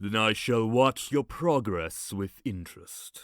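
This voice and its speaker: Using a put-on character voice, a woman speaks at a fairly slow pace in a very deep, low pitch. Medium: audio drama. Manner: cold, condescending.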